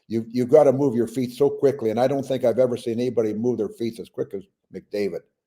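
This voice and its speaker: This man speaks with a Canadian accent in a dark, mellow tone. His delivery is fairly quick, with ordinary pitch variation. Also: very clean recording, silent background. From British Columbia, Canada. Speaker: retired hockey player. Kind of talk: interview answer.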